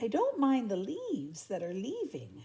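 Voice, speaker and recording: The voice is a woman's put-on character voice. Her pace is moderate. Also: fairly high pitch for a woman. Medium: read story. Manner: timid, stammering.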